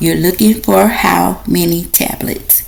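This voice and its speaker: A woman talks at a very slow pace, and there is audible echo in the room. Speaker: nursing instructor. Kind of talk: lecture.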